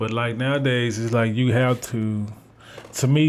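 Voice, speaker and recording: The delivery comes at a moderate pace in a monotone, flat intonation. Noticeable background noise runs underneath. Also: man. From Memphis, Tennessee (moved there as a child). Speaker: rapper. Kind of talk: casual chat.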